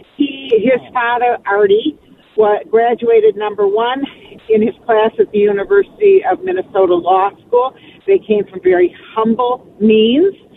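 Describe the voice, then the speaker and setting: The speaker has an American accent and a fairly slow pace. Noticeable background noise is present. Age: 70s. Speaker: caller. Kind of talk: casual chat. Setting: phone call.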